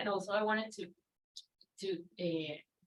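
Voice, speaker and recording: With a Spanish accent, a woman speaks at a medium pitch. Her pace is moderate. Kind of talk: panel discussion.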